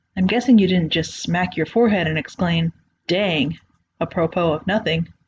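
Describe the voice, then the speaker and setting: Somewhat breathy and with lively intonation, a woman speaks in an American accent at a moderate pace. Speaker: creepypasta narrator. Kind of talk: horror story narration.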